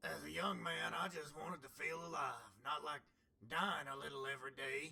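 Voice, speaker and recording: Using a put-on character voice, a man sounds raspy at a medium pitch. His speed stays moderate. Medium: machinima. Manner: world-weary, earnest.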